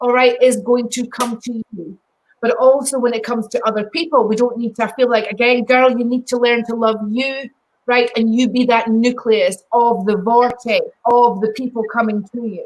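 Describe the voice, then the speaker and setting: Speaking with a Scottish accent, a woman keeps a moderate pace, a high pitch and fairly even intonation. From Scotland. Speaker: psychic medium. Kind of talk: live psychic readings. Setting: live video stream.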